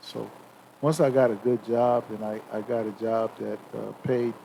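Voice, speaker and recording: Noticeable background noise behind a voice with ordinary pitch variation. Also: man. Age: 60s. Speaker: retiree, father of the hosts. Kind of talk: casual chat. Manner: halting, many repetitions.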